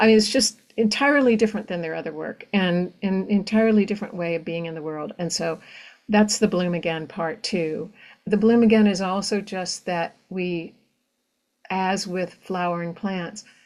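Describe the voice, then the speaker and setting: A woman at medium pitch speaks at a moderate pace with ordinary pitch variation and big swings in loudness. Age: 60s. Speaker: novelist. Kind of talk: conversational interview. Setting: virtual event. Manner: halting with many fillers.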